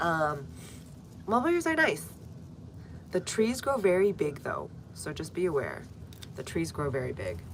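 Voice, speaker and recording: With an American accent, a woman speaks at a moderate pace, leaving long, frequent pauses amid audible room echo. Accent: American, viewer remarked on. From US, North Texas. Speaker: gardening livestreamer. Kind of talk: live stream chat and gardening tutorial. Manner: casual, conversational.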